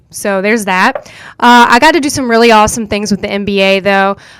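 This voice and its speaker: A woman speaks with a Southern US accent at a fairly high pitch. Her pace is moderate. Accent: Southern US country accent, noticeable. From US South, rural North Carolina. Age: 20s. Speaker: podcast host. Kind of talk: casual monologue. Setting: studio. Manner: animated.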